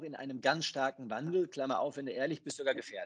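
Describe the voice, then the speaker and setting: A man speaks in an ordinary speaking voice, pitched fairly high for a man. His intonation is lively and his pace fairly quick. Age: 40s. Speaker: banker. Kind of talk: interview.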